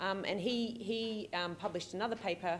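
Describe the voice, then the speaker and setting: The speaker is a woman. Her accent is Australian. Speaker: pediatric allergist and researcher. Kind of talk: keynote lecture. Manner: fast; hesitant, many fillers.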